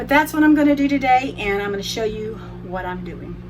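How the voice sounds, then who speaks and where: Over music in the background, a woman with a Southern US accent mumbles at a moderate pace, with audible room echo. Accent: US South. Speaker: cooking vlogger. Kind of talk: tutorial. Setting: home kitchen. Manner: mumbling; trying to talk loud.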